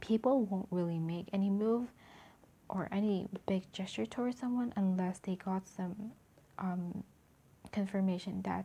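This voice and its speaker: A woman whispers quietly at a moderate pace, her voice somewhat breathy. She leaves long, frequent pauses. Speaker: tarot reader. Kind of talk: tarot reading to camera. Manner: almost whispering, quiet.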